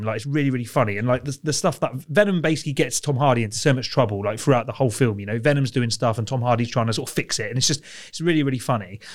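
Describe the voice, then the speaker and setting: A man of medium pitch speaks with lively intonation. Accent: British. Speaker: film podcast co-host. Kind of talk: casual chat.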